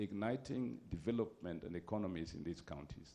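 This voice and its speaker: At a moderate pace, a man talks in a dark, mellow tone. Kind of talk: formal speech. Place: hall. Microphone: handheld.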